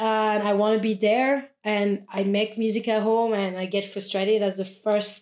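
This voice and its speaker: A woman with a French accent talks in a flat monotone at a fairly high pitch. The recording is very clean, with a silent background. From France. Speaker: DJ and music producer. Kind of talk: casual chat. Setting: studio.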